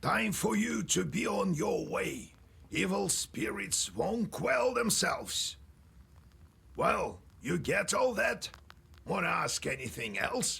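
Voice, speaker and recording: A raspy, put-on character voice moves at a fairly slow pace with very even loudness and long, frequent pauses. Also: man. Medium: video game. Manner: gruff, instructive.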